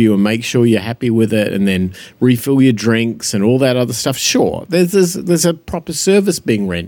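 The man's voice is medium in pitch, with a dark, mellow tone. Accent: Australian. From Australia. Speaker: podcast co-host. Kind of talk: casual chat.

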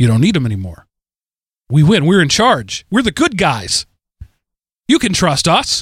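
A man with an American accent, fairly high pitch, very wide pitch swings and a moderate pace. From Texas. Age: 40s. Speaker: podcast host. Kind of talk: solo commentary monologue. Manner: halting, with repetitions.

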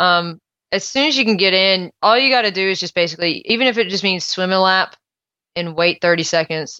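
Her tone bright and sharp, a woman talks at a fairly quick pace and a medium pitch with ordinary pitch variation. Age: 30s. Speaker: high school music director and triathlete. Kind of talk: casual interview.

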